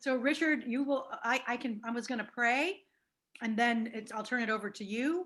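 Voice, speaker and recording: A woman speaks loudly in a high pitch. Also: ordinary pitch variation, moderate pace. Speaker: parish leader chairing meeting. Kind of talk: casual chat and meeting facilitation. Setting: video call.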